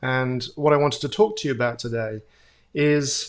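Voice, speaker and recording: With a strong British accent, a man speaks at a moderate pace in a fairly high pitch with ordinary pitch variation. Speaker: futurist. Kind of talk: keynote talk. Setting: virtual event.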